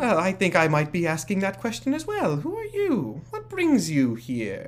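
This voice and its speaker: Over clear background noise, a man does a put-on character voice at a moderate pace. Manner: pleasant; curious.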